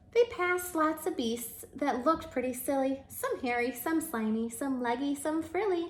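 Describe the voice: The speech moves at a fairly slow pace with a lively, varied intonation. Some room echo can be heard. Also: woman, high pitch for a woman.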